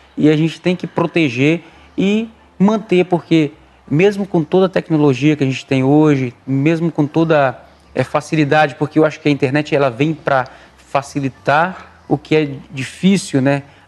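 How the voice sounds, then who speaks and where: This man has a plain, everyday voice with a fairly high pitch. He talks at a moderate pace with ordinary pitch variation. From Brazil, traveling circus family, born in Pernambuco. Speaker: circus performer. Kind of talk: interview.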